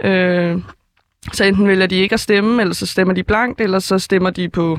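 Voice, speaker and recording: A woman speaks at a medium pitch in a flat monotone. Her speech is broken by long, frequent pauses. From Denmark, Helsingør. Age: young. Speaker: first-time voter. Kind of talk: interview. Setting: studio. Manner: halting, many fillers.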